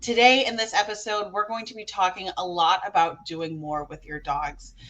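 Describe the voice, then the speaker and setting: Her tone is bright and sharp as this woman speaks at a fairly quick pace. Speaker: podcast host and dog trainer. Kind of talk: casual podcast chat. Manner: loud.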